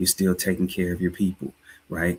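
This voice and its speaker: A man speaks with a slight Southern US accent in a very deep, low voice. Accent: slight Southern drawl. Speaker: life and finance coach, livestream host. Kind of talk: livestream talk, motivational finance commentary. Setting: live stream.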